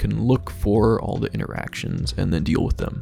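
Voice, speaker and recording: A man talks over noticeable background noise. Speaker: game development tutorial creator. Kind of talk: screen-recorded coding tutorial. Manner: casual.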